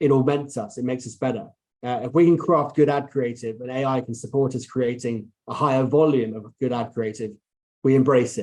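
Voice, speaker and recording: A man's voice with a dark, mellow tone and ordinary pitch variation. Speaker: marketing executive. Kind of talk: conference presentation. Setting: online conference talk. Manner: fast.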